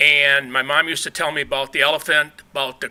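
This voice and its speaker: This is a man speaking. His tone is bright and sharp. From Michigan, Muskegon area. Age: 70s. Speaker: resident giving public comment. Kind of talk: public comment at city meeting. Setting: city commission meeting.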